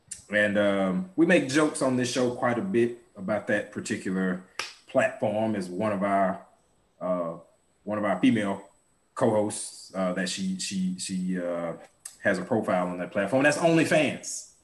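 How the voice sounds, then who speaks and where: A normal speaking voice from a man, fairly low in pitch, at a moderate pace with ordinary pitch variation. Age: 30s. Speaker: podcast co-host. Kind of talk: casual chat.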